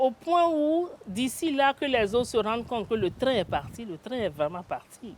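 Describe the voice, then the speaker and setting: Her pitch leaps very widely up and down. This woman's voice is high. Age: 60s. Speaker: retired company director. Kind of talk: interview.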